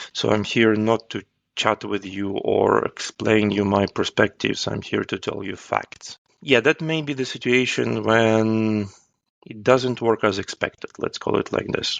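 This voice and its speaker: In a dry, close sound with no echo, a man talks fairly slowly at a fairly low pitch with ordinary pitch variation. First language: not English; English is his third language. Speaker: agile coach. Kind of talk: interview. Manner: halting.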